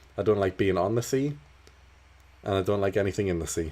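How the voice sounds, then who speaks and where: A man with a slight Geordie accent talks at a fairly quick pace. His very deep, low voice has a dark, mellow tone. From northern England, Newcastle. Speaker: gaming streamer. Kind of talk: casual live-stream chat. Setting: live stream.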